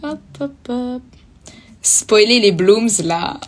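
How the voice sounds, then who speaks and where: Very wide pitch swings mark a woman's high voice as she speaks at a very slow pace. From southern France, Toulouse. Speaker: singer in a cover group. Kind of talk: casual chat. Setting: livestream.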